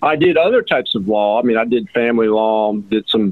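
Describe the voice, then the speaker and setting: Male speaker with an American accent, moderate pace and ordinary pitch variation, noticeable background noise. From Georgia, US (Atlanta suburbs). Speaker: personal injury attorney. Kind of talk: interview. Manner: halting, with many fillers.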